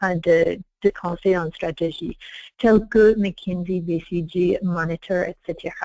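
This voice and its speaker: In a dry, close sound with no echo and a quiet background, a woman speaks very slowly at a medium pitch. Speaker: strategy consultant, firm founder. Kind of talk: webinar presentation. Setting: online webinar. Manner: halting, many repeated words and restarts; partly reading aloud.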